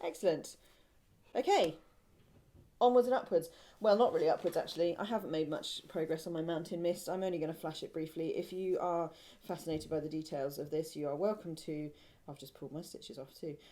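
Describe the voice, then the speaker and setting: A woman speaks in a southern English accent with ordinary pitch variation. Her loudness swings widely. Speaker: podcast co-host, knitter. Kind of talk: casual chat. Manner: chatty, hesitant with many ums.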